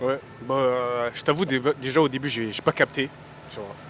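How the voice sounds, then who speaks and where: Against noticeable background noise, a man of medium pitch keeps a fairly quick pace and fairly even intonation. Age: young. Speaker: rapper. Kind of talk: casual interview. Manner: casual, filler-heavy.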